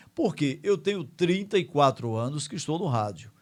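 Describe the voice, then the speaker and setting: With a plain, everyday voice, a man of fairly high pitch speaks with lively intonation on a very clean recording with a silent background. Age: 60s. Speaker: radio host. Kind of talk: casual radio monologue. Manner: conversational, with fillers like né.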